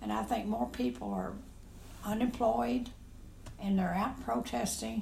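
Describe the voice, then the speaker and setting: With noticeable background noise behind her, a woman speaks at a fairly slow pace with long, frequent pauses, her fairly low pitch swinging very widely. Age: 80s+. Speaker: grandmother, interviewee. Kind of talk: casual interview.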